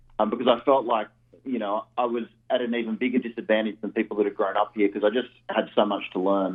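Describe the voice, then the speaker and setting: At a fairly quick pace, a man with an Australian accent speaks in a medium pitch with fairly even intonation. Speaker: real estate investor. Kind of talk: radio interview.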